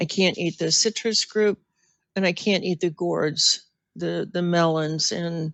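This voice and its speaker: At a very slow pace, a woman speaks with a fairly low pitch and fairly even intonation. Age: 70s. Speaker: food addiction expert. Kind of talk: interview.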